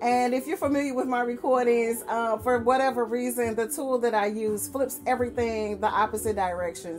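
Moderate pace from a woman, light background noise behind. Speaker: beauty vlogger. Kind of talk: casual vlog chat. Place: home room. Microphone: webcam.

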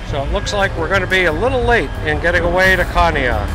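A man talking at a fairly quick pace, dry sound with no echo, clear music in the background. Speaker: travel vlogger. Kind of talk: casual vlog commentary. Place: boat. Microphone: phone near.

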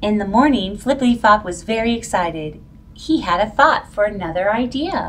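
A passage is being read aloud in a natural voice.

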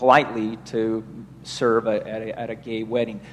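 This is a man speaking. Light background noise runs under his voice. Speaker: Q&A moderator. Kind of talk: Q&A moderation. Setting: parish hall, recorded, microphone. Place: church.

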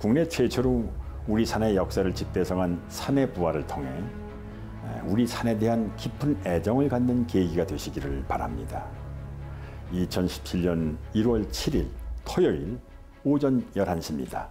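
Clear music plays behind a man with a very deep, low pitch. His pitch swings very widely, and he leaves long, frequent pauses. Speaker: actor, documentary narrator. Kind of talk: promotional message to viewers. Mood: warm, smiling. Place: home room. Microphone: lapel.

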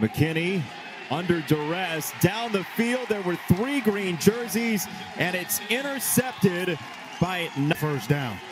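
There is noticeable background noise as a man speaks at a very slow pace. His high voice carries lively intonation. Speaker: football play-by-play commentator. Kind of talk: live sports commentary. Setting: stadium game broadcast, highlights package. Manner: rising, emphatic calls on touchdowns.

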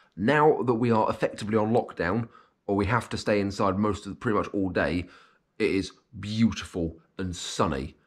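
At a moderate pace, a man talks in a British accent at a fairly low pitch. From UK. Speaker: vlogger. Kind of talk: casual vlog monologue; casual vlog chat. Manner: halting. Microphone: webcam.

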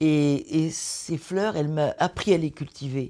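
A woman's very deep, low-pitched voice with a dark, mellow tone and ordinary pitch variation, over a quiet background. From northern France, Caudry; France. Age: 80s+. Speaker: abbey restorer; interviewee. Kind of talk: interview. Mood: reflective, calm. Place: home room.

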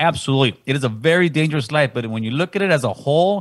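Speaking at a very fast pace, the man has a fairly high pitch, a somewhat breathy quality and lively intonation. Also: quiet background. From Honduras, raised in Los Angeles from age 6; Honduras. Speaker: podcast host. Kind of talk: casual chat. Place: studio. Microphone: studio mic.

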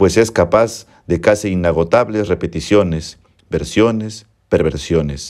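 The man's voice sits very deep and low in pitch. He talks at a fairly slow pace with ordinary pitch variation. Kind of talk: literary audiobook reading. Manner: formal, measured narration.

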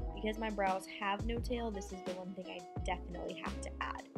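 A woman talks at a moderate pace. Clear music is heard behind her. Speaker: beauty vlogger. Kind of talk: tutorial. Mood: relaxed, friendly. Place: home room. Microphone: camera far.

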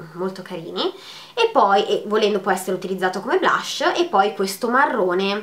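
A woman talking at a moderate pace. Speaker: beauty vlogger. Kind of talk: makeup tutorial chat. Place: home room. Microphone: phone near.

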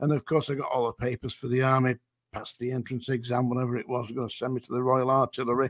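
In a Lancashire accent, a man talks at a medium pitch, the sound dry with no echo and the background quiet. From northern England. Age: 70s. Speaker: former prison officer. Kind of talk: interview.

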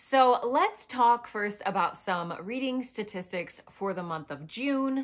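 The quiet background lets a woman's voice stand out. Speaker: book vlogger. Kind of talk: casual vlog chat. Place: home room.

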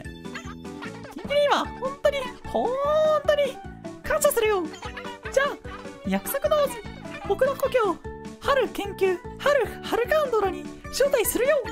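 A man in a put-on character voice speaks at a moderate pace with an extremely high pitch, taking long, frequent pauses over clear music in the background. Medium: role play.

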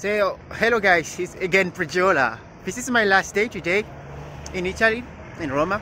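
A man with a high voice speaks at a moderate pace in a bright, sharp tone, his pitch varying in an ordinary way over faint background noise.

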